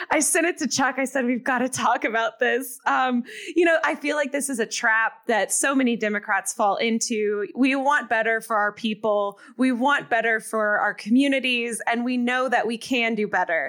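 A high-pitched woman's voice at a moderate pace, with hardly any pauses, very even loudness and ordinary pitch variation, on a very clean recording with a silent background. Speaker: podcast co-host. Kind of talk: casual chat and ad read. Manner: chatty, uses many filler words.

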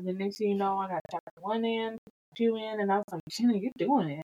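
Someone speaks at a fairly quick pace with a Southern US accent. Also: woman. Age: 30s. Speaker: podcast co-host. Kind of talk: casual chat.

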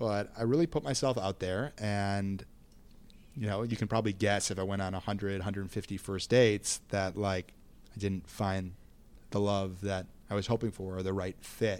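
Using a normal speaking voice, a man with fairly low pitch talks at a moderate pace with fairly even intonation in a very clean recording with a silent background. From Minnesota. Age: 30s. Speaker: podcast guest. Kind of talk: casual interview.

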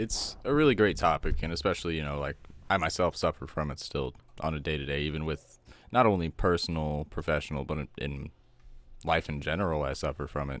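A man's very deep, low voice with vocal fry and ordinary pitch variation at a fairly quick pace, on a very clean recording with a silent background. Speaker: podcast co-host.

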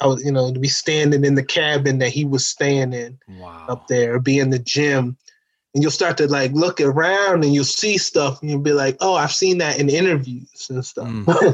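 A plain, everyday voice, its pitch varying in an ordinary way, delivered at a moderate pace. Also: man, fairly high pitch for a man. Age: 30s. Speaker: stand-up comedian and musician. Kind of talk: casual interview chat.

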